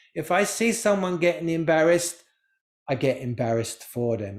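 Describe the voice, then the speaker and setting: With an English accent, a man speaks in a high pitch and a lively, bouncing intonation. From England. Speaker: spiritual teacher. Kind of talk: talk to a live group. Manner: animated.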